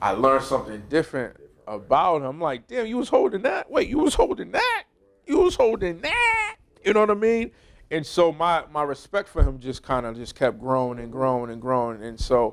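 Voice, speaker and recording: A man with an American accent, fairly high-pitched, at a moderate pace, with very wide pitch swings and big swings in loudness over noticeable background noise. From US Northeast (Brockton, Massachusetts). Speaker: podcast host, former pro football player. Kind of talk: casual conversation.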